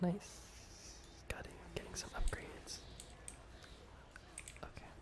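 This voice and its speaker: A man whispers at a very slow pace while noticeable background noise carries on. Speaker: ASMR gaming creator. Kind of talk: casual gaming commentary. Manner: soft-spoken, whispered.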